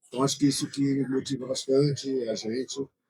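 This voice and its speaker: In a plain, everyday voice, a man speaks at a medium pitch and a fairly quick pace. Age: 60s. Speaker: tourism association director. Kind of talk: panel discussion. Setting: trade fair stand.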